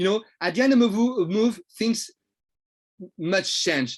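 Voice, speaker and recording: This man's voice is high in pitch, his intonation lively, and his pace very slow. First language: French. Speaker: trading coach. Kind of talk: lecture. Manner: halting.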